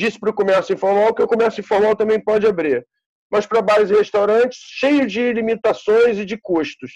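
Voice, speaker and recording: Fairly quick delivery in a Carioca accent, with ordinary pitch variation. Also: man. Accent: carioca Brazilian Portuguese. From Rio de Janeiro, Brazil. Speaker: bar and music venue owner. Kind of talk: casual interview chat.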